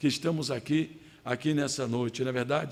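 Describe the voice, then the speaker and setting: At a moderate pace, a man is speaking. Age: 60s. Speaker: pastor. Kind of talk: sermon. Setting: church service.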